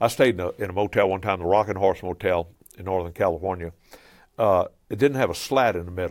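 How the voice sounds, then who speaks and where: A man with a Cajun accent talks at a very fast pace in a very deep, low voice, his pitch varying in an ordinary way. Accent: Cajun Louisiana English. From Louisiana (Cajun). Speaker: pastor and travelling preacher. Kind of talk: casual interview.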